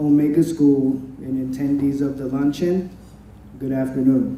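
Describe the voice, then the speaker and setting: A man with an American accent speaks at a moderate pace, fairly high in pitch with fairly even intonation. There is audible room echo. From US Midwest, Madison, Wisconsin. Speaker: former student, insurance agent. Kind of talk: prepared event speech. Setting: luncheon event with audience.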